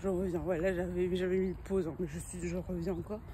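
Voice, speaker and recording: A woman speaks with a somewhat breathy voice. Her tone is dark and mellow. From Brussels, Belgium. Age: 20s. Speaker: vlogger. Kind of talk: casual vlog talk to camera. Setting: outdoors, walking. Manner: animated; halting, many fillers.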